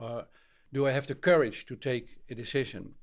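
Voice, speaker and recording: At a moderate pace, a man with a Dutch accent speaks in a fairly high pitch. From Netherlands. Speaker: author and trainer. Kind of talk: interview. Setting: remote call. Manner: halting.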